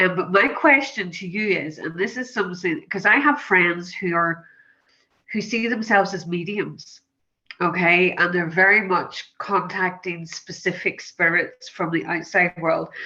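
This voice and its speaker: A woman with a Northern Irish accent and a bright, sharp tone speaks at medium pitch and a fairly slow pace, with ordinary pitch variation over a quiet background. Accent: Northern Irish, lyrical. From Northern Ireland. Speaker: audience member, hypnotherapist. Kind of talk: asking a question in Q&A.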